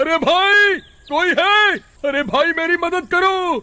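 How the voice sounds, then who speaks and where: Shouting in a put-on character voice, a man speaks at a fairly slow pace with extremely high pitch. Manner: shouting for help, calling out.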